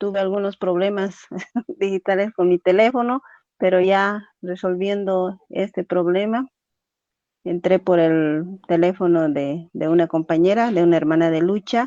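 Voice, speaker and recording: A woman speaks at medium pitch with a dark, mellow tone and ordinary pitch variation. Her pace is fairly slow, and the sound is dry and close with no echo. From Bolivia, Cochabamba (born in Yungas, La Paz). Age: 40s. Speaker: activist for Afro-Bolivian women. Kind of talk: interview. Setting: phone call on a borrowed phone.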